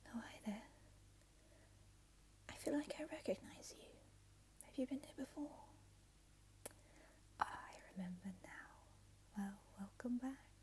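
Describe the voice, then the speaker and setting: This soft-spoken woman talks at a fairly slow pace. Her loudness swings widely, and she pauses often and at length. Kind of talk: ASMR roleplay as a retro game store clerk. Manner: soft-spoken, relaxing.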